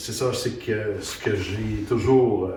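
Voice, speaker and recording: Amid noticeable background noise and audible room echo, a man speaks fairly slowly at medium pitch with fairly even intonation. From Quebec, Eastern Townships. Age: old. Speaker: maple syrup producer. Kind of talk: casual presentation. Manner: halting, many repetitions.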